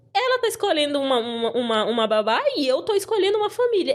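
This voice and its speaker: An animated speaker with a Brazilian accent talks at a very fast pace, pitch swinging very widely while loudness stays very even. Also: woman. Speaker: former au pair. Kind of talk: casual chat.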